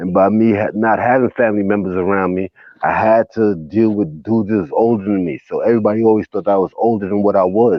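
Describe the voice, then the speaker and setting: With a normal speaking voice, a man talks at a fairly quick pace in a fairly low pitch with fairly even intonation. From US, raised in city projects. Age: 40s. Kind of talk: casual chat.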